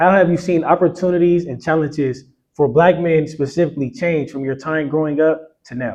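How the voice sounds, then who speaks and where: A man with an unremarkable speaking voice talks at a fairly quick pace and fairly high pitch. His intonation stays fairly even while his loudness swings widely. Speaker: interviewer. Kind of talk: interview questions.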